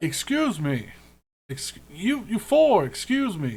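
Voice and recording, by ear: A man's put-on character voice, high in pitch, with very wide pitch swings and a fairly slow pace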